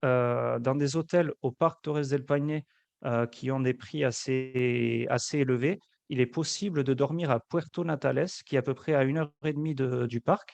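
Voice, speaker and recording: A man with a southwestern French accent, medium pitch and fairly even intonation, at a fairly slow pace, in a dry, close sound with no echo. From French Basque Country. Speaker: travel agency representative. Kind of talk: webinar presentation and Q&A. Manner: hesitant, many fillers.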